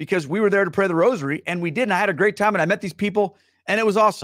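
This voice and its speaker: A man's high-pitched, very fast speech against a quiet background, dry with no echo. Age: 40s. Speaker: livestream host. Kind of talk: live-streamed casual talk to viewers; casual livestream talk. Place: home room. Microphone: studio mic.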